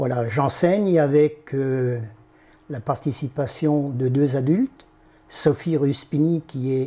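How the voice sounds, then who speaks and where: Very slow delivery in a dark, mellow tone, the intonation fairly even. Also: man, fairly high pitch for a man. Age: 70s. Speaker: aikido instructor. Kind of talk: interview.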